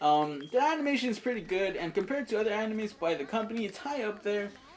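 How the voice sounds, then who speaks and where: Against noticeable background noise, a woman speaks at a very fast pace in a fairly high voice with very wide pitch swings. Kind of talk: anime review.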